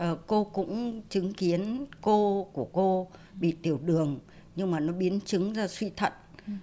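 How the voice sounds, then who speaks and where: A woman's dark, mellow voice at a medium pitch. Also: ordinary pitch variation, moderate pace. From northern Vietnam. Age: 60s. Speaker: retired television worker. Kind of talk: interview.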